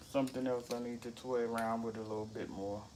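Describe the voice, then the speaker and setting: Amid noticeable background noise, a man with a medium-pitched voice speaks at a fairly quick pace in a monotone, flat intonation. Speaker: cooking livestream host. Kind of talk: casual cooking livestream. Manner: casual, chatty.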